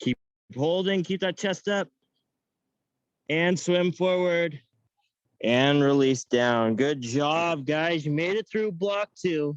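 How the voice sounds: A man at a fairly high pitch, very slow pace, with long, frequent pauses.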